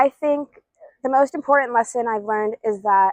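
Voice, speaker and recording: A woman speaks at a moderate pace with fairly even intonation, a normal speaking voice with an American accent. The sound is dry and close, with no echo. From Ithaca, New York, US. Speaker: education student. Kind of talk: interview testimony.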